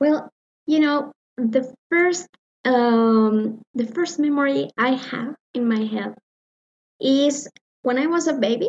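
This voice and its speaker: In a Spanish accent, a high-pitched woman talks at a very slow pace with long, frequent pauses and ordinary pitch variation. Her loudness stays very even, and the sound is dry and close with no echo. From Mexico, Morelia, Michoacán. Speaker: musician and music teacher. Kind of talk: interview answers. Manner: halting, many fillers.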